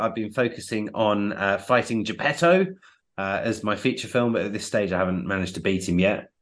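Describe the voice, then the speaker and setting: A man with an ordinary speaking voice talks at a fairly quick pace and a fairly low pitch against a quiet background. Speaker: podcast co-host. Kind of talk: casual chat.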